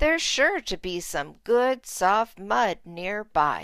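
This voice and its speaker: A put-on character voice at a very slow pace, on a very clean recording with a silent background. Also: woman. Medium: read story.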